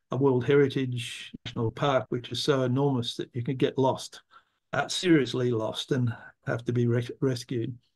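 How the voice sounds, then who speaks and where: This is a man speaking with an Australian accent. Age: 70s. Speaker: environmental philosopher. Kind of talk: interview. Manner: halting.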